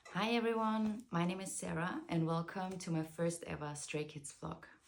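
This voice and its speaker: Ordinary pitch variation marks a woman's fairly low voice at a moderate pace. Noticeable background noise is present. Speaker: vlogger. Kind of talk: casual vlog talk. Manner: hesitant, many filler words.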